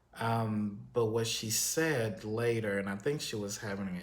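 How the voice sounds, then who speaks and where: This man has an American accent and a fairly low pitch. He speaks at a fairly slow pace, with audible room echo. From Texas. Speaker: YouTube commentary host. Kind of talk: casual vlog monologue. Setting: solo on camera. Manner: hesitant, many fillers.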